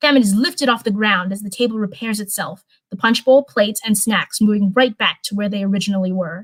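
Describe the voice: The speaker reads aloud plainly, pitch varying in an ordinary way, with a quiet background behind.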